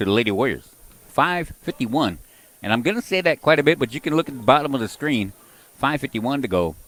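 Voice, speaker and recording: Loud and fairly quick, a man speaks at medium pitch. His voice moves in very wide pitch swings. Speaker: basketball play-by-play announcer. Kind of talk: live commentary.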